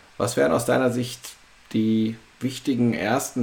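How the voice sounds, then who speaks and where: A man with a medium pitch and fairly even intonation talks over noticeable background noise. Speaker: podcast host. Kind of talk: interview. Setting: video call.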